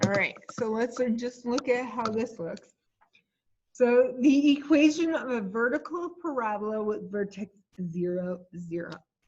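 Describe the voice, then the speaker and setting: With lively intonation, a woman speaks at a fairly slow pace in a somewhat breathy voice of fairly high pitch. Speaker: math teacher. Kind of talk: lecture.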